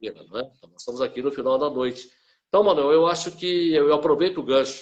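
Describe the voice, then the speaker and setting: At a fairly quick pace, a man with a plain, everyday voice speaks at a fairly high pitch, with ordinary pitch variation and big swings in loudness. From Brazil, Cruzeiro (São Paulo state). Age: 60s. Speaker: journalist and author. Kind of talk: interview.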